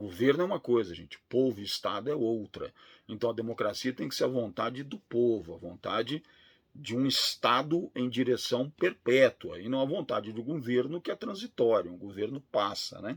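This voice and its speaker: At a moderate pace, a man of medium pitch speaks with lively intonation in a dry, close sound with no echo. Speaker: law professor. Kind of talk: lecture.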